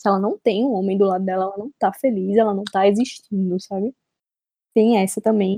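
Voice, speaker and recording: Recorded with a dry, close sound and no echo, a woman speaks at a fairly quick pace with fairly even intonation and a dark, mellow tone. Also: medium pitch for a woman. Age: 20s. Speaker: podcast host. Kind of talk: casual chat.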